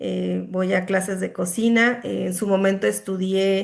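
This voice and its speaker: Over a quiet background, a woman speaks at a fairly slow pace with a medium pitch. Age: 40s. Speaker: student and accountant. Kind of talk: self-introduction in online class. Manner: halting, many fillers.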